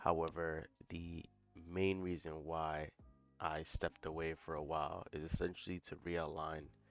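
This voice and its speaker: Music plays in the background as a man speaks. His voice is very deep and low, with monotone, flat intonation. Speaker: trading youtuber. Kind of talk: casual vlog talk to camera. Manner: hesitant, many fillers.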